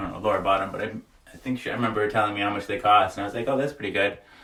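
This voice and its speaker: Noticeable background noise sits behind a man speaking very fast. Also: long, frequent pauses. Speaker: livestreamer. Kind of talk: casual live-stream chat. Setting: sauna. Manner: loud; animated.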